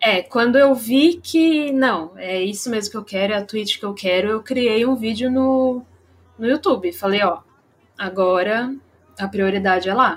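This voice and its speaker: A woman speaks in an ordinary speaking voice with lively intonation. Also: fairly high pitch for a woman, fairly slow pace. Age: 20s. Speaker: streamer. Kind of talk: casual live-stream interview.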